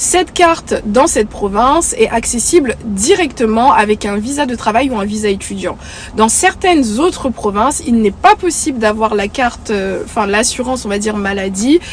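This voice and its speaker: At a moderate pace, a fairly high-pitched woman speaks over noticeable background noise. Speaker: YouTuber. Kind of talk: vlog talk to camera. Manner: many hesitations (euh).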